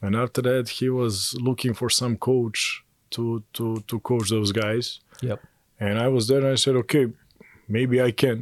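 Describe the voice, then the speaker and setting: Speaking fairly slowly, a man keeps a medium pitch with monotone, flat intonation. The sound is dry and close with no echo, on a very clean recording with a silent background. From Montenegro. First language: Serbian/Montenegrin. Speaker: basketball coach. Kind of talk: interview. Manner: halting, repeats words.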